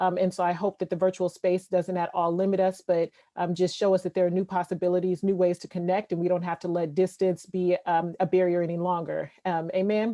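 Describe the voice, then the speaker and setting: A woman talks at a fairly quick pace with hardly any pauses, her medium-pitched voice dark and mellow. Her intonation is monotone and flat, and the sound is dry and close with no echo. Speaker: surgeon and keynote speaker. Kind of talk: keynote talk. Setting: video call. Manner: fast.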